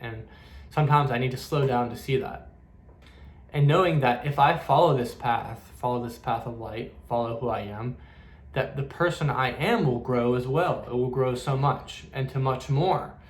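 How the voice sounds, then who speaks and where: A man with a medium pitch talks in a somewhat breathy voice with fairly even intonation, and audible room echo surrounds him. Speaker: spiritual medium. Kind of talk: casual spiritual talk to camera. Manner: fast; halting, with many fillers and repeats.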